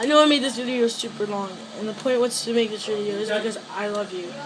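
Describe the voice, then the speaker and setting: A woman with a fairly high voice speaks at a fairly quick pace and with fairly even intonation, amid noticeable background noise and audible room echo. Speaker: vlogger making a video for a friend. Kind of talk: heartfelt personal message to camera. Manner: emotional, halting.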